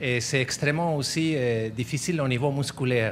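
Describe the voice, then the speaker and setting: A man with a normal speaking voice talks at a medium pitch and a moderate pace, his pitch varying in an ordinary way. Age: 60s. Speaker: slackline enthusiast. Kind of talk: interview.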